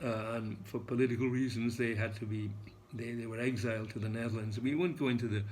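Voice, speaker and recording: The speaker talks at a fairly quick pace with fairly even intonation and a somewhat breathy voice. Audible echo fills the room. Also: man. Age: 80s+. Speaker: English teacher. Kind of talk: lecture. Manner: halting, many fillers.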